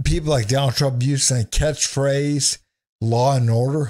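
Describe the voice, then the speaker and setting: A somewhat breathy man talks at a fairly slow pace over a quiet background. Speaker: remote guest or commentator. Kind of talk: political commentary. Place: home room. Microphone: studio mic.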